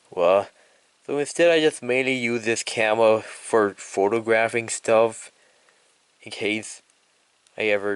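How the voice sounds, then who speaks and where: A man with an unremarkable speaking voice talks slowly-ish, at a fairly slow pace and a fairly low pitch. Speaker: YouTuber. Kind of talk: casual vlog retrospective.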